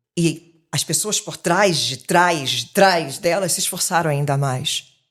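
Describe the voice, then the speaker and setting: A woman speaks at a very slow pace. Her voice is fairly low, with ordinary pitch variation. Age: 40s. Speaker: journalist and TV presenter. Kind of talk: casual chat.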